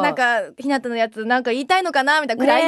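A woman speaks at a high pitch with ordinary pitch variation. Her voice comes through dry, with no echo. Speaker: voice actor, guest on a radio show. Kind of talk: radio show banter. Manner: shy, modest, polite. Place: studio.

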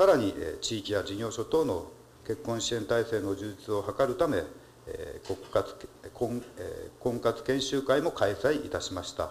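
Amid light background noise, a man at a medium pitch speaks at a fairly slow pace with lively intonation and long, frequent pauses. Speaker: city government department head; city official answering council. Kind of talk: formal official answer. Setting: council chamber. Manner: formal. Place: hall. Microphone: podium.

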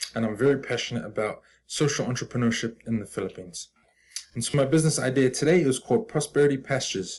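Over light background noise, a man speaks at a very fast pace. His voice is somewhat breathy and his intonation lively. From New Zealand, Auckland. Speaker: business student. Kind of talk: presentation pitch. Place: home room. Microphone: webcam.

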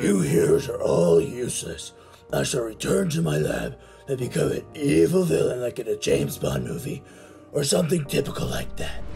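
Clear music in the background and a moderate pace. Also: man, medium pitch for a man. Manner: indignant, fussy.

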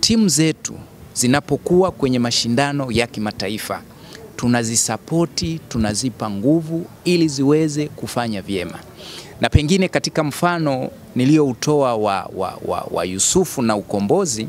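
Lively intonation marks this man's fairly slow speech. The sound is dry with no echo, with light background noise. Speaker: sports club spokesman. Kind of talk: interview answer. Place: street. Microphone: handheld.

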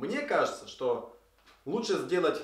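A man talks at a moderate pace, and audible room echo can be heard. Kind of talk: explanatory video commentary. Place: workshop.

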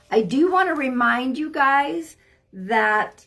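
With music playing in the background, a woman speaks at a very slow pace. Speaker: live reading host. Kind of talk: casual live stream chat. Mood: friendly, cautioning. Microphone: phone near.

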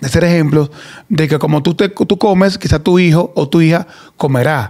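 A man speaks at a moderate pace in a high voice. The background is quiet. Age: 40s. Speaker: podcast host. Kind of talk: casual chat. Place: studio. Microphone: studio mic.

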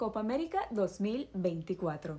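The woman's voice moves in very wide pitch swings. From Ecuador, Guayaquil. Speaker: video presenter. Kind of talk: scripted narration.

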